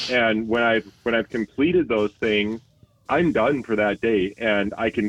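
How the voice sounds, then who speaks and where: In an unremarkable speaking voice, the speaker goes at a fairly slow pace with very even loudness. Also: man. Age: 40s. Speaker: IT executive. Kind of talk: interview.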